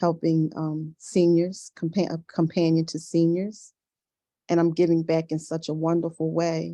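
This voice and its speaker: A woman with an American accent speaks at a fairly slow pace in a dark, mellow tone and fairly low pitch. Her intonation is monotone and flat, and the background is quiet. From Philadelphia, Pennsylvania. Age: 60s. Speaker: senior companion business owner. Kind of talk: roundtable testimony.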